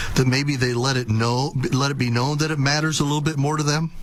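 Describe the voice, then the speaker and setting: The voice is a man's, fairly high in pitch. Noticeable noise sits in the background. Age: 60s. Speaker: radio talk show host. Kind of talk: radio interview.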